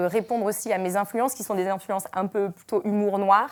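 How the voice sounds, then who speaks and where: The recording is very clean, with a silent background. A woman speaks at a moderate pace and a fairly high pitch. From Brittany, France. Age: 30s. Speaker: comedian. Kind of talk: interview. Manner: hesitant, many fillers.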